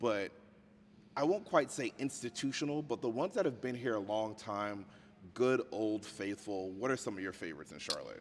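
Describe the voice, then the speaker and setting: The intonation is lively throughout. At a moderate pace, this is an ordinary speaking voice. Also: man, medium pitch for a man. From US South, outskirts of Richmond, Virginia. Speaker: podcast host. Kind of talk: casual interview chat. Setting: on location in a museum.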